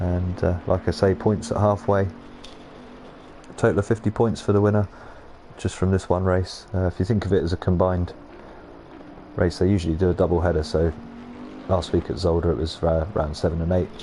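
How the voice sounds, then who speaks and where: Amid noticeable background noise, a man with a very deep, low pitch keeps his loudness very even and his intonation fairly even. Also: moderate pace. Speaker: sim racing commentator. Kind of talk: live commentary. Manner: monotone.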